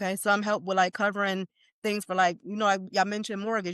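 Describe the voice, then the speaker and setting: A woman speaks at medium pitch with a slight Jamaican accent. The sound is dry and close with no echo. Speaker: life insurance expert. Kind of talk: informal masterclass presentation. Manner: casual, conversational.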